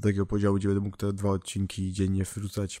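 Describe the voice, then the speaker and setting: Over a very clean recording with a silent background, a man speaks at a very fast pace, fairly low in pitch with a dark, mellow tone. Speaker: gaming YouTuber. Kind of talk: casual vlog announcement.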